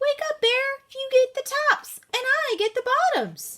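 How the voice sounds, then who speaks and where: A woman puts on a character voice in an extremely high, squeaky pitch. She keeps a moderate pace. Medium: read story. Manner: cheerful, wheedling.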